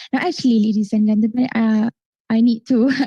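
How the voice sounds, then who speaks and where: A woman's dark, mellow voice in a Malaysian accent, fairly high-pitched, with a dry, close sound and no echo. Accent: Kuala Lumpur Malaysian English. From Malaysia, Sabah. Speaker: forum moderator. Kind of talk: live forum moderation. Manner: animated.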